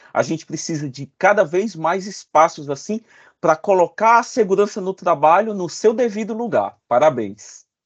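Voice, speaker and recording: A man's high-pitched voice with lively intonation at a moderate pace, dry and close with no echo, over a quiet background. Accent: Cearense. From Ceará, Brazil (Fortaleza). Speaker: safety engineer and consultant. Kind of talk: interview.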